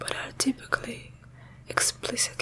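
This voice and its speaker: Under noticeable background noise, a woman's whisper moves fairly slowly. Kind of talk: ASMR reading of a scientific article. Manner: whispered, soft-spoken.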